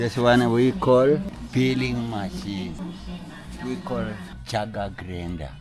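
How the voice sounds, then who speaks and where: Music plays behind a man with a fairly low voice, and the room echo is audible. He talks at a very slow pace with long, frequent pauses. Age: 70s. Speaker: coffee farmer and tour guide. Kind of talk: guided tour explanation. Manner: halting.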